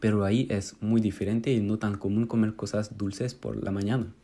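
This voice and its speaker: Fairly low and dark, mellow in tone, a man with a French accent speaks at a fairly slow pace with ordinary pitch variation. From France. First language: French (speaking Spanish). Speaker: Spanish student. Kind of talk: recorded monologue.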